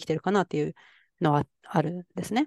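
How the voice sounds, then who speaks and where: A woman with a fairly low pitch and ordinary pitch variation speaks at a very fast pace. The sound is dry and close with no echo, and the background is quiet. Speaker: podcast co-host, IT worker and mother. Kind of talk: casual chat. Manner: many fillers.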